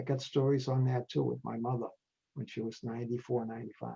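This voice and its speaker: A somewhat breathy voice with a dark, mellow tone. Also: man. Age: 80s+. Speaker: retired dentist and public health expert. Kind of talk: interview.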